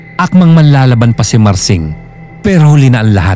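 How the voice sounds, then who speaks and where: Over music in the background, a man talks fairly quickly at a medium pitch, his pitch swinging very widely. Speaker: storyteller. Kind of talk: horror story narration.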